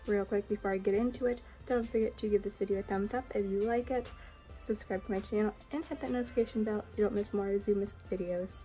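Faint music plays in the background as a woman speaks at a very fast pace with ordinary pitch variation. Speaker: reptile keeper vlogger. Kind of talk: casual vlog chat. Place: home room. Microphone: phone near.

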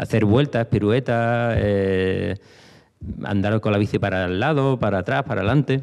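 The man has an unremarkable speaking voice at a fairly low pitch. He goes at a moderate pace against a quiet background. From Spain. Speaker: former BMX rider; speaker. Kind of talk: panel talk. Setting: stage with audience. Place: hall. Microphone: handheld.

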